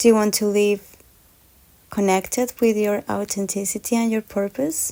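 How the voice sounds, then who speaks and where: A woman with a non-native accent speaks in a calm tone. Her intonation stays fairly even, and her tone is dark and mellow. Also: medium pitch for a woman, moderate pace. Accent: foreign. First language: Spanish. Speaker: podcast host. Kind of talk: podcast monologue.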